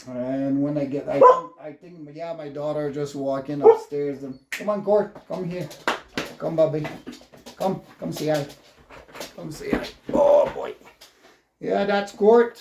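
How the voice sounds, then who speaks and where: With a French Canadian accent, a man talks fairly slowly in a fairly high voice. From Quebec. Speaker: vlogger, ex-firefighter. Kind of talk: casual vlog monologue. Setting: at home with dogs. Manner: halting, many fillers.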